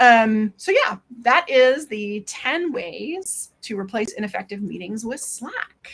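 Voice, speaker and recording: A woman speaks with hardly any pauses. Her pitch swings very widely. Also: fairly high pitch for a woman. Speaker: Slack consultant presenter. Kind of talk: Q&A after presentation. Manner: fast.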